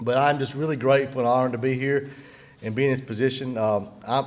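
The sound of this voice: Talking fast, a man keeps a medium pitch and fairly even intonation.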